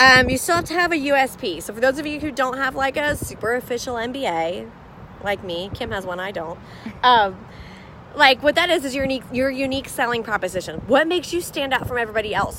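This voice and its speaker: Over noticeable background noise, a woman talks loudly at a very fast pace in a high pitch with lively intonation. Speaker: business coach. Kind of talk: live stream chat. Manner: loud, boisterous.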